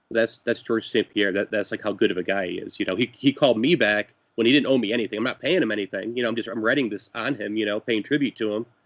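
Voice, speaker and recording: A man talks at a very fast pace with hardly any pauses. His medium-pitched voice shows ordinary pitch variation. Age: 40s. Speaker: podcast creator, fighter interviewer. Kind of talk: casual interview chat. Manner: halting, many repetitions.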